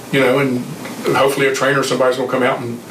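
Noticeable background noise behind a man speaking at a fairly high pitch. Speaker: retired football coach. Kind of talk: interview storytelling.

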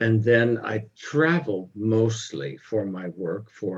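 Somewhat breathy, a man with an American accent speaks at a medium pitch. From US, California. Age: 70s. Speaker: pastor and author. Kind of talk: interview.

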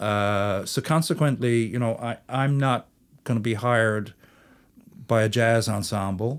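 The recording is very clean with a silent background, and the delivery is a normal speaking voice. It moves at a fairly slow pace with ordinary pitch variation. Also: man, medium pitch for a man. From St. John's, Newfoundland, Canada. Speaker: folk musician, fiddler. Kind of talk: casual interview chat.

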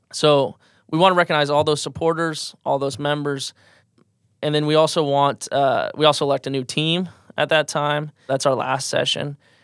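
A man talks at a moderate pace with a fairly high pitch and a monotone, flat intonation, in a Midwestern American accent. The sound is dry and close with no echo, on a very clean recording with a silent background. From US Midwest, rural southwest Iowa. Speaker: student organization president. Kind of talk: casual interview.

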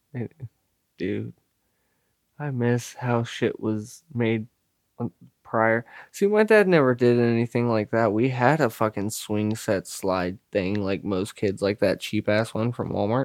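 A man's unremarkable speaking voice at medium pitch, fairly even in intonation, at a fairly slow pace, with a dry, close sound and no echo. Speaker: podcast co-host. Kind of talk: casual banter, profane comedy chat. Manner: joking, sarcastic, profane.

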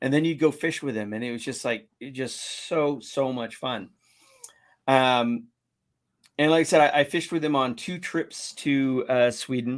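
A man with an American accent speaks at medium pitch and a moderate pace. His is an unremarkable speaking voice. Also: ordinary pitch variation. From US West Coast, San Diego. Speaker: kayak fishing show host and guide. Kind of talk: casual interview.

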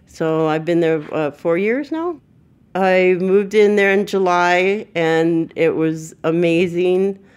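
An unremarkable speaking voice with an American accent delivers lines in a fairly even intonation. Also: woman. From Southern California, Burbank, Mexican family. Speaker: formerly homeless advocate. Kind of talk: personal testimony.

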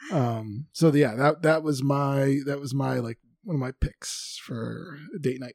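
This is an ordinary speaking voice at a fairly slow pace. Its intonation is fairly even. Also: man, fairly high pitch for a man. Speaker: podcast host. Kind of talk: casual chat.

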